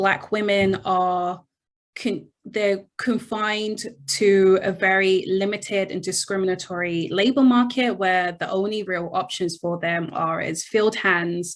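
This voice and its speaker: With a British accent, a woman of medium pitch talks at a fairly slow pace using fairly even intonation. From England, London. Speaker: history professor. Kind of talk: interview.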